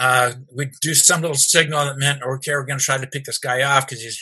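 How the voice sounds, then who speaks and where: A man speaks very fast in a flat, monotone delivery. His pitch sits in the medium range. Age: 80s. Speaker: retired math teacher and coach.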